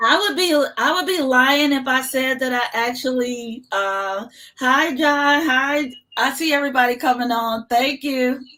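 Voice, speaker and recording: A woman uses a raised, projected voice at a high pitch. She speaks at a fairly slow pace. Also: ordinary pitch variation. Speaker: aviation nonprofit founder. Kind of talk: live-stream interview. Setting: live video stream. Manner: animated.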